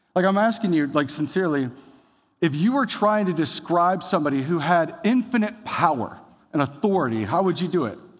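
A man's high pitch, fairly quick pace, lively intonation and animated tone, with audible room echo. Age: 30s. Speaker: pastor. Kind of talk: sermon.

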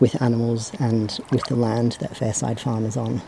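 A man is heard over noticeable background noise. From Australia. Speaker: podcast host. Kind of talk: scripted audio zine presenting.

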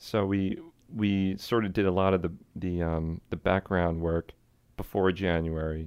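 In a very deep, low pitch, a man talks fairly slowly with monotone, flat intonation. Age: 30s. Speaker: jazz musician and festival organizer. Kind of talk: casual interview.

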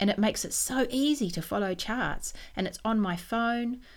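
A woman speaks at a moderate pace with vocal fry. The recording is very clean, with a silent background. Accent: New Zealand. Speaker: knitting podcaster and designer. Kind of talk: casual monologue.

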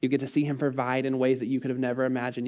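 Against a quiet background, a man talks at a medium pitch with a dark, mellow tone. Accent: American. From Texas, College Station. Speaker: missionary. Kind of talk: sermon.

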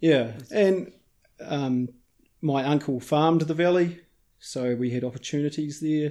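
A man with a New Zealand accent, fairly high-pitched with a dark, mellow tone and ordinary pitch variation, fairly slow, with long, frequent pauses. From New Zealand, South Westland. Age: 40s. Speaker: hunter and filmmaker. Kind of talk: interview. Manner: halting.

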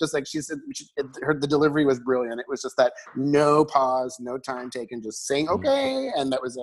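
This man, with a normal speaking voice, talks at a fairly quick pace with fairly even intonation and hardly any pauses. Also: fairly high pitch for a man. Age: 40s. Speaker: regular podcast guest, community theater performer. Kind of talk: casual chat. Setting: remote recording from home.

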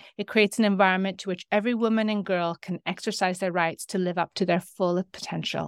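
On a very clean recording with a silent background, a woman speaks at a medium pitch. Her intonation is monotone and flat, and the sound is dry and close with no echo. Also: hardly any pauses. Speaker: podcast host. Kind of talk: interview.

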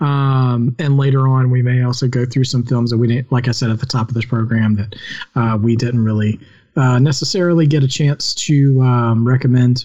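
The speaker is a man whose voice is somewhat breathy. His loudness stays very even. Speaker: podcast host. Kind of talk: casual chat. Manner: rambling, filler-heavy.

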